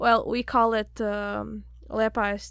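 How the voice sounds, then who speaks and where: A woman speaks with a slight Latvian accent on a very clean recording with a silent background. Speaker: church worship and young adults leader. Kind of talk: casual chat.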